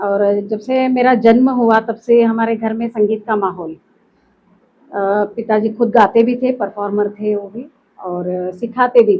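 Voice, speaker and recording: Fairly even intonation marks this woman's fairly high-pitched voice. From Karnataka, Belagavi. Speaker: classical vocalist. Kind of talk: interview. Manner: hesitant, with fillers.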